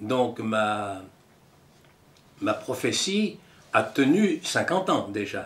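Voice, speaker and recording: A man speaks at a very slow pace, pausing long and often. His pitch swings very widely. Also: medium pitch for a man. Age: 80s+. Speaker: former scout leader. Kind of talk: testimony. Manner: halting.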